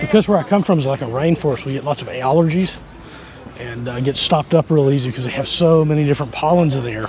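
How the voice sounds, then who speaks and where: Spoken at a very fast pace with ordinary pitch variation, the voice sounds dry with no echo while music plays clearly in the background. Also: man. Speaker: travel vlogger. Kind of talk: casual vlog chat. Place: market. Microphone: phone near.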